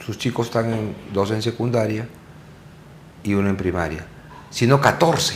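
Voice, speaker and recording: At a moderate pace broken by long, frequent pauses, a man speaks with a fairly low pitch and ordinary pitch variation. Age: 60s. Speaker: TV talk show host. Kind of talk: interview conversation.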